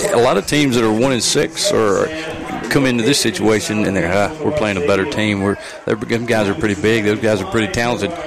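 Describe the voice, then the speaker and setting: Noticeable background noise behind a man's ordinarily varied pitch. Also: medium pitch for a man, fairly quick pace. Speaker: color commentator and softball coach. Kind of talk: live sports commentary. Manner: animated, conversational, joking.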